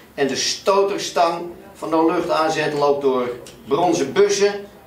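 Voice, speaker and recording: Heard with audible room echo and light background noise, a man with a high pitch and ordinary pitch variation talks at a fairly slow pace. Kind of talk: tutorial.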